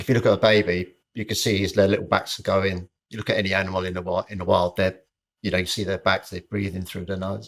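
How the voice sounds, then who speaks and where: Very fast, monotone, flat speech in a very clean recording with a silent background. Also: man. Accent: British. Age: 60s. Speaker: personal trainer. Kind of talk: casual chat.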